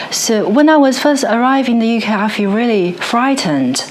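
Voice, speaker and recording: There is audible room echo as a woman speaks with a Chinese accent. Her pitch is fairly high and her pace moderate. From China. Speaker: musician and music researcher. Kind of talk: interview conversation. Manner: halting, with many fillers and restarts.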